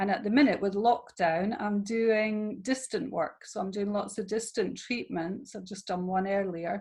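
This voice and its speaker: With a Scottish accent, a woman speaks in a somewhat breathy voice at medium pitch, moving at a moderate pace with hardly any pauses and ordinary pitch variation. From Scotland. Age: 50s. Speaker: therapist and women's empowerment coach. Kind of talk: interview. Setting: video call.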